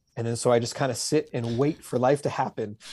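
A man speaks at a fairly quick pace in a somewhat breathy, medium-pitched voice. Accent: Canadian. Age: 40s. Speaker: author and construction business owner. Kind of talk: interview. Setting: video call.

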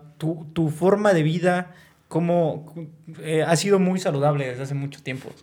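Fairly high-pitched for a man, this ordinary speaking voice moves at a fairly slow pace with fairly even intonation. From Hidalgo, Mexico. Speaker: podcast host. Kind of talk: casual chat.

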